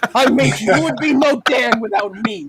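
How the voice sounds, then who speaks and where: The delivery is animated and moves at a moderate pace. Noticeable background noise runs underneath. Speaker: podcast host. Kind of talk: casual chat. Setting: live stream.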